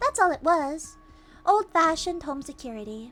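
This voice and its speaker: A woman puts on a squeaky character voice at an extremely high pitch, swinging very widely in pitch at a moderate pace while faint music plays in the background. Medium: virtual streamer. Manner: bright, breezy.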